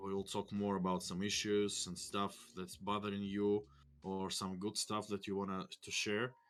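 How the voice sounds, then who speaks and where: Over a silent background in a very clean recording, a man with a Russian accent speaks at a moderate pace with monotone, flat intonation. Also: fairly low pitch for a man. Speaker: game studio executive. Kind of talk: casual chat. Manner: halting.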